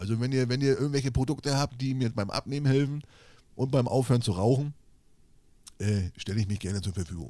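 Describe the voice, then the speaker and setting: A man's dark, mellow tone at a very fast pace, with ordinary pitch variation and long, frequent pauses. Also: medium pitch for a man. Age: 40s. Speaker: podcast co-host, social media creator. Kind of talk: casual chat. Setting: video call.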